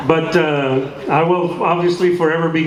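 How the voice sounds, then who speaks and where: Speaking fairly slowly, a man uses a fairly high pitch with fairly even intonation. Background noise is noticeable, and the room echo is audible. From US-Mexico border. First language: Spanish. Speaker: actor. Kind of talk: panel discussion with audience.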